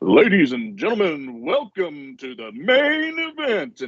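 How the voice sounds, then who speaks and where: Using a put-on character voice, a man talks at a fairly slow pace with a high pitch and very wide pitch swings. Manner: theatrical announcing.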